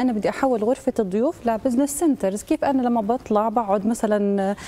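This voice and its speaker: A woman talks fairly quickly, her pitch moving in an ordinary way. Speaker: guest. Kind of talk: interview answer. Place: studio.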